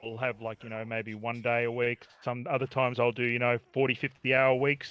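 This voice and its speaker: A man speaks at a fairly quick pace with an Australian accent. His medium-pitched voice stays monotone and flat. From Australia, Victoria (Wangaratta). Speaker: community gamer, taxi driver. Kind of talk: casual interview chat.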